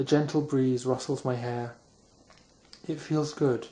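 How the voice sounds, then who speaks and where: Speaking with a British accent, a man uses a medium pitch and a dark, mellow, somewhat breathy tone with fairly even intonation. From England. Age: young. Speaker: author. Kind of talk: ASMR sleep reading of own novel. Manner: soft-spoken, slow.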